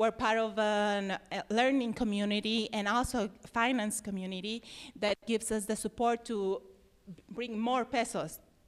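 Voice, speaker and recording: A woman speaks with a Mexican accent at a moderate pace and fairly high pitch. Her monotone, flat intonation comes through on a very clean recording with a silent background. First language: Spanish. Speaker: environmental nonprofit worker. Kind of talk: presentation. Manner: halting.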